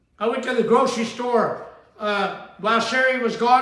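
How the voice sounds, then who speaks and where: A man talks in an extremely high voice with fairly even intonation. Noticeable background noise and audible room echo are present. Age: 70s. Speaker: spiritual teacher and show host. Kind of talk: sermon-style talk show monologue. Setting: at daughter's home.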